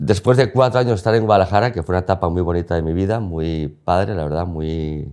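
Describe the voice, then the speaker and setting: Very deep and low in pitch, a man races along at a very fast pace with hardly any pauses and ordinary pitch variation. The recording is very clean, with a silent background. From Spain (León). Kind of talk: interview. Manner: fast when excited.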